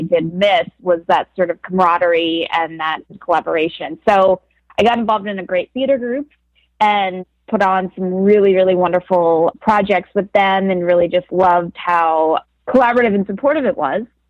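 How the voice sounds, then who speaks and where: Speaking at a fairly quick pace, a woman with an American accent has an unremarkable speaking voice, medium pitch, ordinary pitch variation and a dry, close sound with no echo. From Philadelphia, US. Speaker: actress. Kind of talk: interview.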